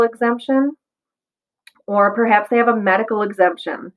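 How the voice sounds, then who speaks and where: This voice carries an American accent. It moves at a moderate speed. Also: woman. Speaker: school nurse. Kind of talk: informational presentation to parents. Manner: casual, with frequent fillers.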